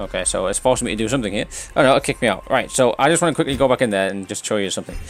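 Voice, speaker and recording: A man rushes through his words at a very fast pace as music plays behind him. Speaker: gaming video commentator. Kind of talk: game commentary.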